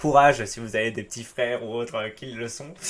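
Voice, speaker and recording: A man at medium pitch, fairly slow, with ordinary pitch variation. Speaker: YouTuber reading and commenting forum stories. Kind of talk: reading aloud; casual commentary. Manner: animated.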